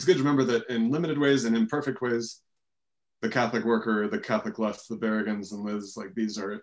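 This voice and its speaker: The background stays quiet. Over it, a man talks at a very fast pace. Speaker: scholar and editor; guest. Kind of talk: panel discussion. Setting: video call. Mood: warm, smiling. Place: home room. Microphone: webcam.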